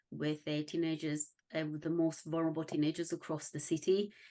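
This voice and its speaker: With a slight Scottish accent, a woman speaks in a very deep, low voice at a moderate pace, her intonation monotone and flat over a quiet background. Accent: slight Scottish on some words. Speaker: parenting consultant. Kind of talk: interview.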